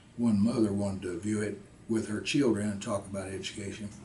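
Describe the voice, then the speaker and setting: A man with a western Kentucky accent speaks at a fairly low pitch in a monotone, flat delivery. Room echo is audible. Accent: western Kentucky Southern US. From US South. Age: 80s+. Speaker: war veteran. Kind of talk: interview. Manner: halting, many fillers.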